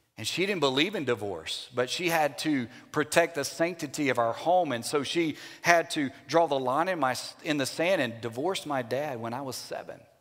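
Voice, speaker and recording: Speaking in a Louisiana accent, a man uses a fairly high pitch. His pace is moderate and his pitch variation ordinary. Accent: US Southern (Louisiana). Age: 50s. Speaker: Baptist pastor. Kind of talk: sermon.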